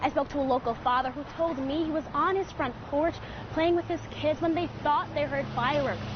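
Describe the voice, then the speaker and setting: A woman speaks with a high pitch and ordinary pitch variation. Noticeable background noise sits behind her. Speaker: TV news reporter. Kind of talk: TV news report.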